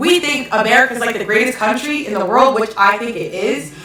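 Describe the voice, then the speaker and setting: Over noticeable background noise and audible room echo, a woman with a fairly high pitch speaks in an animated tone at a moderate pace. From Hawaii. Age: 30s. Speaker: live-stream commentator. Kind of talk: live-stream rant reading chat comments. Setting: live stream at home.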